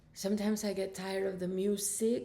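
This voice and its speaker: There's audible room echo around this woman's medium-pitched voice, which has a dark, mellow tone. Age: 60s. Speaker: fitness instructor. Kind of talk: workout instruction and casual vlog talk. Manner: casual, chatty.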